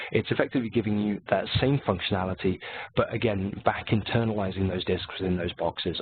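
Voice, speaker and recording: Pitched fairly low, a man rattles through his words at a very fast pace. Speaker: technical presenter for a software company. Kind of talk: webinar presentation. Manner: relaxed, casual.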